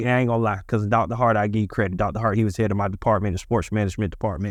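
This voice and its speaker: A man with an American accent speaks at a fairly low pitch with ordinary pitch variation. The recording is very clean and the background silent. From US South, Ocala, Central Florida. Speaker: podcast co-host. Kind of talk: casual chat.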